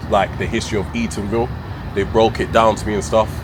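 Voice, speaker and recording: Speaking very fast with a London accent, a man with a fairly low voice comes through over noticeable background noise. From London, England. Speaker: travel vlogger. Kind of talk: casual interview. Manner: halting.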